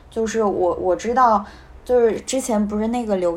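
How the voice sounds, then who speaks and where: With a plain, everyday voice, a woman of fairly high pitch speaks at a moderate pace with ordinary pitch variation. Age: 20s. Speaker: strategy consultant, new graduate. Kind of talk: casual discussion.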